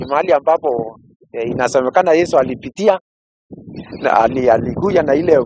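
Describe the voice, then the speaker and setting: A man talks at a fairly quick pace with lively intonation. The sound is dry with no echo, with light background noise. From Kenya, Meru; Kenya. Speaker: pastor. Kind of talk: interview explanation. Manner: halting, with repetitions. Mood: cheerful, smiling. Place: open country. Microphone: handheld.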